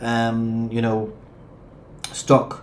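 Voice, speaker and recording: A man's voice with audible room echo. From Gibraltar. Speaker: travel vlogger. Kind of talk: live stream chat, reading viewer questions. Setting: live stream.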